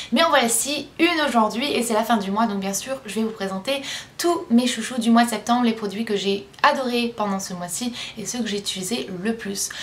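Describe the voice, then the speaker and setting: A woman does a put-on character voice, hoarse and fairly high in pitch. She moves at a moderate pace over light background noise. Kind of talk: casual vlog.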